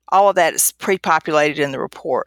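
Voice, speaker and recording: A woman with a North Carolina accent at a moderate pace and fairly low pitch, in a dry, close sound with no echo, on a very clean recording with a silent background. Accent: Southern US (North Carolina). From northeastern North Carolina. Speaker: radiologist. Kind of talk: interview.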